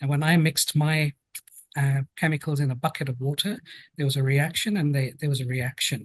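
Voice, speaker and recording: The speaker has a British accent and a somewhat breathy voice. The pace is fairly quick, and the sound is dry and close with no echo. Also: man. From London, England. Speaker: occupational health and safety specialist. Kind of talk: podcast interview.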